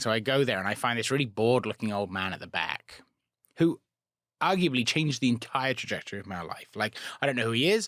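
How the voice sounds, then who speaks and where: A man with a British accent races along at a very fast pace, his medium-pitched voice animated and his intonation lively. The recording is very clean, with a silent background. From England. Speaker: rocket scientist. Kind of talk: casual interview chat.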